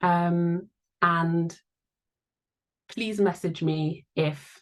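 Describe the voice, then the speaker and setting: The speaker is a woman with a fairly low pitch. She delivers her words in a monotone, flat way. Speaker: charity staff webinar host. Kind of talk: webinar presentation. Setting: video call. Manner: deliberately slow.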